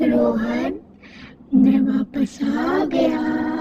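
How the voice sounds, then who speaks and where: A raspy put-on character voice carries the speech. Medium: read story. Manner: slow, menacing.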